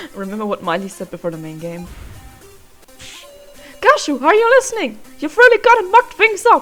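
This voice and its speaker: Over faint music in the background, a squeaky, high-pitched put-on character voice is raised and projected at a fairly quick pace. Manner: ridiculous, cartoonish.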